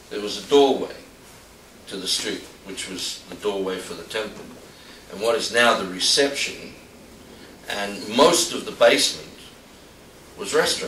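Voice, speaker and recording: A man with an Australian accent talks at a moderate pace in a medium pitch, his loudness swinging widely, with audible room echo and noticeable background noise. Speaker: temple leader. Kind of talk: personal reminiscence talk. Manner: halting.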